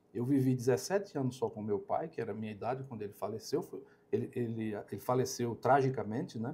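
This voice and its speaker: A man talks at a very fast pace in a medium pitch. His somewhat breathy voice shows ordinary pitch variation. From Brazil, Alagoas interior. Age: 60s. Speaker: company operations director. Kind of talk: podcast interview. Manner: halting, with many fillers and repetitions.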